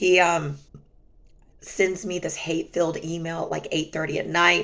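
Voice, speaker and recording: A woman's fairly low voice with vocal fry, monotone, flat intonation, and a moderate pace. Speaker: vlogger sharing personal relationship experiences. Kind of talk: casual storytelling vlog.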